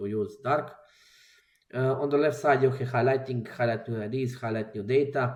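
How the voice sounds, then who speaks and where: A man is speaking. He has a Croatian accent. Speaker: software developer. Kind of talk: tutorial. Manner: halting, many fillers. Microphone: microphone problems.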